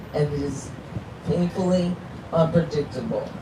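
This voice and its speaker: The speech has fairly even intonation. Noticeable background noise and audible room echo are present. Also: woman. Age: 60s. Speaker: person living with ALS, advocate. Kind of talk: prepared speech. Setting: outdoor stage on National Mall.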